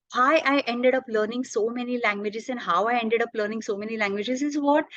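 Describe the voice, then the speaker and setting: A woman with a Marathi accent, her fairly high pitch showing ordinary variation, against a quiet background. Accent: Indian English, Marathi. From India, Maharashtra. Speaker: language teacher, polyglot. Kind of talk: interview. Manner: hesitant, many fillers.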